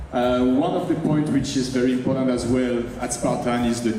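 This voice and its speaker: A man with a French accent and fairly even intonation, with audible room echo and noticeable background noise. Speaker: sports event executive. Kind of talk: opening ceremony speech. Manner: halting, with fillers.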